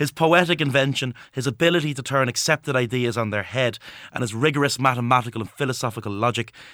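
Speaking at a very fast pace, a man with a bright, sharp tone and medium pitch uses ordinary pitch variation on a very clean recording with a silent background. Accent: Dublin. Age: 20s. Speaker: historian and author. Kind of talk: radio interview. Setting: radio studio.

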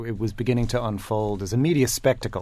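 Here a man talks with a New York accent. His pitch is medium. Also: quiet background. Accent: New York American. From US, New York. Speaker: communications executive. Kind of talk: panel discussion.

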